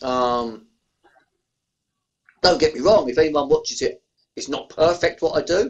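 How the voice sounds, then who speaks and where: This man speaks with an Essex accent. His pace is moderate. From Essex, England. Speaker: beer reviewer YouTuber. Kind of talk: podcast interview answer. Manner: casual, chatty.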